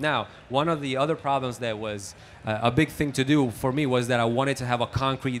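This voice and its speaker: A man with an Italian accent, medium pitch and ordinary pitch variation, at a fairly quick pace over light background noise. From Italy. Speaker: mixing engineer. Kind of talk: casual interview. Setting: music trade show. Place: hall. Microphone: handheld.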